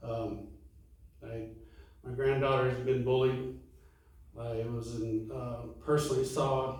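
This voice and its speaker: A man speaks very slowly at a medium pitch, in a flat monotone with long, frequent pauses and audible room echo. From California. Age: 70s. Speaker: city council candidate. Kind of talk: candidate forum speech. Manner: halting, many fillers.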